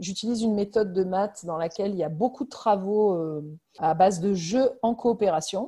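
Somewhat breathy, a woman speaks with a dark, mellow tone. Her pitch variation is ordinary. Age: 40s. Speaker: primary school head teacher. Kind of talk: interview.

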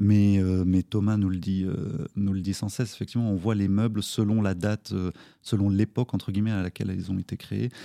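The voice has a dark, mellow tone and monotone, flat intonation, delivered at a fairly quick pace in a dry, close sound with no echo. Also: man, fairly low pitch for a man. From France, Nancy area (Lorraine). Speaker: recycling charity co-founder. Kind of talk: interview. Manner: hesitant, many fillers.

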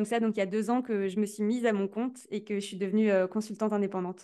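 The voice keeps a monotone, flat intonation against a quiet background. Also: woman. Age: 20s. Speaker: content strategy consultant. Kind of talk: interview. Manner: hesitant, repeats words.

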